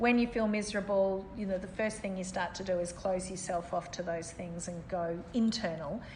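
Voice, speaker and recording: With an Australian accent, a somewhat breathy woman of medium pitch speaks at a moderate pace with fairly even intonation amid audible room echo. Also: hardly any pauses. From Australia, Melbourne. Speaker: city mayor. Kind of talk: interview.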